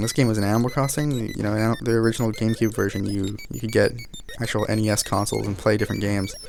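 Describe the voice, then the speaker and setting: Over music in the background, a man with a fairly low pitch speaks at a very fast pace. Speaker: gaming video creator. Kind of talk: emotional tribute monologue while playing. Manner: halting, many fillers and restarts.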